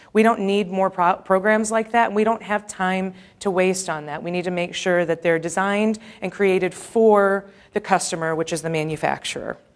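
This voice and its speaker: Intonation stays fairly even on a very clean recording with a silent background. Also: woman, medium pitch for a woman. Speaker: manufacturing industry policy advocate. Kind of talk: conference presentation. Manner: fast.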